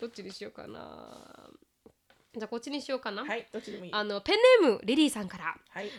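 Talking at a very fast pace, a woman uses a fairly high pitch with vocal fry and big swings in loudness. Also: ordinary pitch variation. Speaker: podcast co-host. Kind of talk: casual chat.

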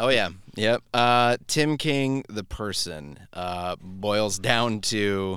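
A man speaks at a very slow pace in a fairly low pitch with ordinary pitch variation. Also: very clean recording, silent background. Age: 30s. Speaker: musician. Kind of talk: casual chat. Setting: studio.

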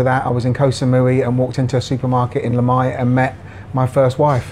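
Speaking very fast, a man keeps a medium pitch. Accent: British. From Jersey, Channel Islands. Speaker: bar manager. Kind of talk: casual interview. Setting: in a bar.

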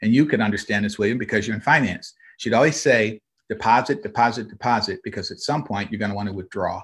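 Talking at a very fast pace, a man with an American accent sounds somewhat breathy. His pitch is medium, with ordinary variation. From Michigan (Flint). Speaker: trade association president. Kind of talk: interview.

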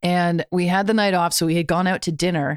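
A woman's normal speaking voice, fairly low in pitch, at a fairly quick pace with a Canadian accent, on a very clean recording with a silent background and a dry, close sound with no echo. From Canada. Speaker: musician. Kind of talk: casual chat.

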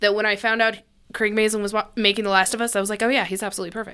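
A woman speaks in a bright, sharp tone. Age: 30s. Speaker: podcast co-host. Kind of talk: casual chat.

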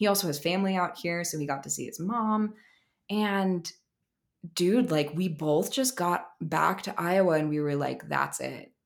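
A woman with an American accent talks at a moderate pace, her pitch fairly low with ordinary variation. She has a plain, everyday voice, and the recording is very clean with a silent background. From Maryland, US. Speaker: spiritual coach and healer. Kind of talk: casual chat.

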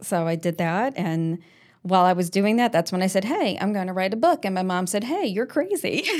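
Talking at a fairly quick pace with an American accent, a woman uses a medium pitch and ordinary pitch variation. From US Northeast, Long Island, New York. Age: 40s. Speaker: fitness and life coach. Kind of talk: casual interview chat.

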